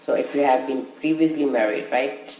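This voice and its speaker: Someone speaks at a fairly slow pace with a Punjabi accent over noticeable background noise. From India. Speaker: tutorial presenter. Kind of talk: tutorial.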